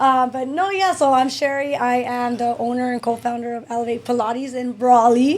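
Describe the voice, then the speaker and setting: Against noticeable background noise, a woman with an American accent speaks fairly quickly in a high pitch that shows ordinary variation. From US Southwest, Imperial Valley, California. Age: 30s. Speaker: pilates studio owner. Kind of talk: casual chat.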